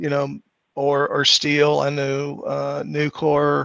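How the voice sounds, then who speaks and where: A man talks with a Southern US accent. His pace is very slow. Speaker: task force member. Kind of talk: public meeting discussion.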